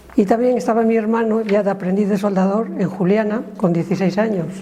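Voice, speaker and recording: A woman of medium pitch speaks at a moderate pace with fairly even intonation. Noticeable background noise and audible room echo come through. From Spain, Salamanca province (Sierra de Francia). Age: 60s. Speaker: former factory worker. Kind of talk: interview testimony.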